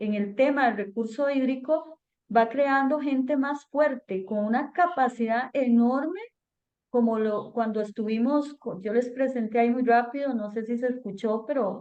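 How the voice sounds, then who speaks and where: High in pitch, a woman speaks with ordinary pitch variation. Her pace is fairly slow. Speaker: government environmental officer. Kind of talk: webinar Q&A answer.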